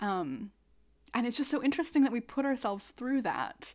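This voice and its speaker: In an unremarkable speaking voice, a woman talks at a fairly quick pace with lively intonation, on a very clean recording with a silent background. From US Midwest, Twin Cities, Minnesota. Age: 20s. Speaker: podcast host and choreographer. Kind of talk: interview.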